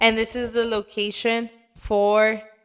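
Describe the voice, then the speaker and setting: Fairly high in pitch, a woman with a non-native accent talks in a monotone, flat intonation. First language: not Italian. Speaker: travel and food video narrator. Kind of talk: scripted narration.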